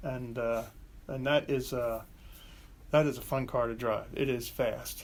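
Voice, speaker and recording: Amid audible room echo, a man of medium pitch speaks in a monotone, flat way at a fairly slow pace, with long, frequent pauses. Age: 70s. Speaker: business owner and car collector, Vietnam veteran. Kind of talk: casual interview. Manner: hesitant, with many fillers and restarts.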